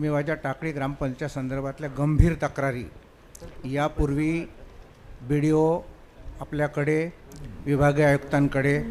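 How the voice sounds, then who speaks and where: A man speaks in a fairly high pitch. His intonation is monotone and flat. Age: 70s. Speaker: village deputy head. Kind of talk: public complaint. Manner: formal.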